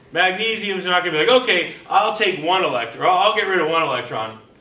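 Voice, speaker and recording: An animated, high-pitched man's voice with very wide pitch swings, amid noticeable background noise and audible room echo. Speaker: chemistry teacher. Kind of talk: classroom lecture.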